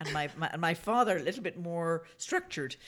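A woman's fairly low voice with lively intonation at a fairly quick pace. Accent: Northern Irish. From Northern Ireland. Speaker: geologist and oil entrepreneur. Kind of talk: casual interview.

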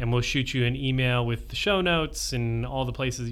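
Speaking at a fairly quick pace, a man is heard over noticeable background noise. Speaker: podcast host; occupational therapist. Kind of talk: casual interview conversation.

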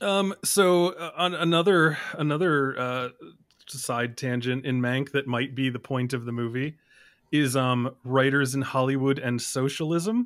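In a plain, everyday voice, a man speaks fairly slowly at a medium pitch with ordinary pitch variation. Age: 30s. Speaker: film podcaster. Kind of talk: casual chat about films. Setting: remote podcast call.

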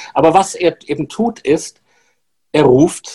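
Speaking at a very slow pace, a man has a dark, mellow tone and a fairly high pitch. His intonation is lively, and the sound is dry and close with no echo. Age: old. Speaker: journalist co-host. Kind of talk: casual chat.

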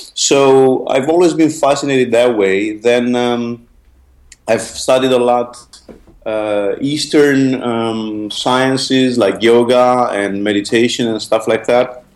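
A man talks very slowly with fairly even intonation while noticeable background noise continues. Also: medium pitch for a man. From Romania. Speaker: hypnotherapist and trainer. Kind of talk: casual interview.

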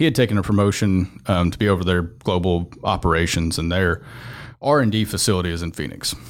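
A man with a Southern US accent, very deep, low pitch, ordinary pitch variation and a fairly quick pace. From Mississippi. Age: 20s. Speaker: construction executive. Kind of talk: casual chat. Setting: studio.

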